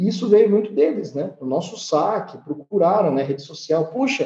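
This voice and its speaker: A man's high-pitched voice carries a dark, mellow tone and lively intonation. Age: 30s. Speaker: food company CEO. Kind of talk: interview.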